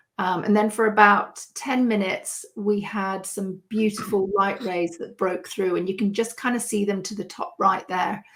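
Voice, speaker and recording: A woman with a British accent speaks fairly slowly at a medium pitch with fairly even intonation. The recording is very clean, with a silent background. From United Kingdom. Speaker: landscape photographer. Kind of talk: podcast interview answer.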